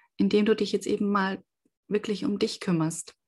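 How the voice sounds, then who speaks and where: Against a quiet background, a woman's voice sounds somewhat breathy. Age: 30s. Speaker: podcaster. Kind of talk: personal testimony. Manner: hesitant, with many fillers.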